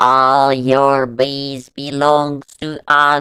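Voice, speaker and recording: A robotic, put-on character voice. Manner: playful, clanking.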